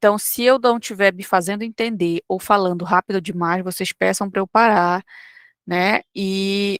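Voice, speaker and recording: A woman with a plain, everyday voice speaks at a medium pitch and a fairly slow pace, her intonation fairly even. The recording is dry and close, with no echo. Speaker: online course teacher. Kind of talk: lecture. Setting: live online class.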